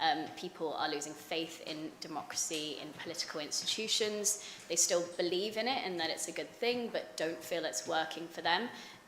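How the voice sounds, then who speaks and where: A woman with a fairly low pitch speaks at a moderate pace with ordinary pitch variation. Noticeable background noise and audible room echo fill the recording. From London, England. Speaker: think tank researcher. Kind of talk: conference talk. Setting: conference panel with audience. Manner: hesitant, many fillers.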